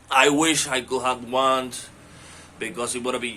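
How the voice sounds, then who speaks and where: This man talks at a fairly slow pace with a non-native accent. His pitch sits in the medium range. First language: not English. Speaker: language learner. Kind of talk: casual monologue answering questions. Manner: halting with many fillers.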